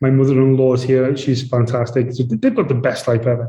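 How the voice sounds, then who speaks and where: Audible room echo surrounds a man whose dark, mellow tone comes across somewhat breathy, with a British accent. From UK. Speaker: real estate executive. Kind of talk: interview. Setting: remote call.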